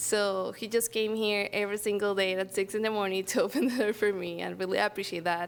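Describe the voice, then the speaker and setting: A woman with a Spanish accent, fairly quick and with hardly any pauses, on a very clean recording with a silent background. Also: medium pitch for a woman, fairly even intonation. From Venezuela. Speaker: program graduate. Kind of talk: testimony.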